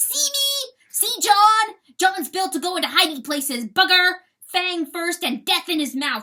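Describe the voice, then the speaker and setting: A woman bellows in a put-on character voice, raised and projected, with an extremely high pitch. Her pitch swings very widely at a moderate pace. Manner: roaring, menacing.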